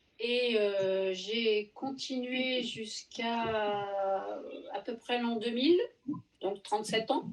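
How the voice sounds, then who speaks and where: Her pitch fairly high and her intonation fairly even, a woman talks at a very slow pace. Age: 60s. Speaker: knitting subscriber guest. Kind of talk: casual chat.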